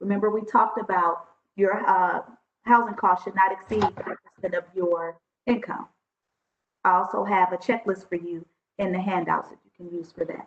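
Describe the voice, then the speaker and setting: A woman at medium pitch keeps her intonation fairly even while her loudness swings widely, with long, frequent pauses. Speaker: workshop trainer. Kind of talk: online workshop presentation. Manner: fast.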